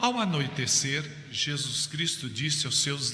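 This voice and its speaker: Very slowly, a man talks with noticeable background noise in the recording. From Campinas, São Paulo, Brazil. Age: 70s. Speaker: itinerant evangelical missionary preacher. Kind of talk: sermon with Bible reading.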